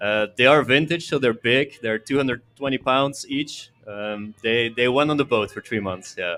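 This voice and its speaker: This voice has a Belgian accent, a moderate pace, and ordinary pitch variation. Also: man. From Belgium. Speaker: venue owner and audio engineer. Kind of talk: casual interview chat. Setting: live podcast on location at a venue with audience.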